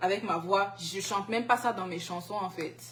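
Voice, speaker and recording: A woman speaks fairly slowly at a medium pitch, with ordinary variation in her pitch. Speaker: singer. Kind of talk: interview. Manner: halting.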